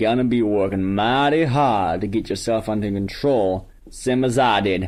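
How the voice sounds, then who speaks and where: Putting on a character voice, a man drawls at a moderate pace and medium pitch with ordinary pitch variation. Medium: read story. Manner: slow, drawling.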